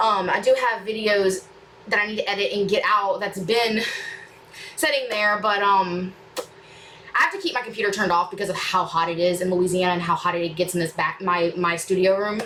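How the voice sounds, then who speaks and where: Noticeable background noise runs under this woman's voice. Her pitch variation is ordinary. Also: medium pitch for a woman, fairly quick pace. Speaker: reaction YouTuber. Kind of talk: casual chat to viewers, Q&A. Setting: home studio room. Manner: fast; rambling, hesitant with fillers.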